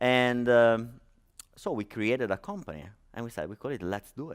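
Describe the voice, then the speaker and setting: Someone speaks with an Italian accent on a very clean recording with a silent background. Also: man. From Italy. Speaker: startup founder and conference speaker. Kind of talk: conference talk. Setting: stage with audience. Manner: hesitant, many fillers.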